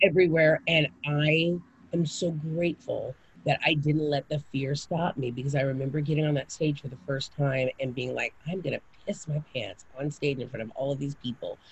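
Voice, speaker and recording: A somewhat breathy woman in an American accent, very deep and low in pitch, at a moderate pace. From Japan and Kansas, US. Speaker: actress, singer and author. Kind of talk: casual interview chat. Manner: animated.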